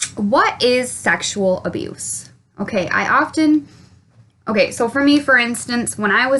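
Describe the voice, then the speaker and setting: The woman's pitch shifts in an ordinary way. She talks at a very slow pace. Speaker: childhood abuse survivor and advocate. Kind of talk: personal testimony to camera. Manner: rambling, hesitant.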